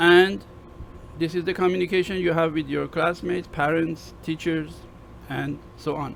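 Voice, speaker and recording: A man with a Persian accent, a fairly high pitch and fairly even intonation, over light background noise. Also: moderate pace. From Iran. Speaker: university lecturer. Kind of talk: lecture. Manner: halting, many fillers.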